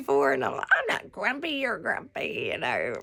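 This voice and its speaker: A woman with a Southern US accent talks at a moderate pace over noticeable background noise. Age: 60s. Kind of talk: casual devotional talk. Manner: casual, rambling with fillers.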